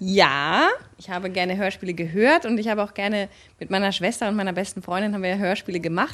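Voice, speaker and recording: A woman talks at a very fast pace, her pitch medium with ordinary variation. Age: 30s. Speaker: actress and voice artist. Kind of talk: casual chat.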